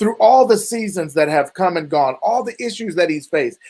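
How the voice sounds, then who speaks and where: Animated and lively in intonation, a man speaks with a high pitch. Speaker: talk show host and interviewer. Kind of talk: interview. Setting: live stream. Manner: animated, hyped.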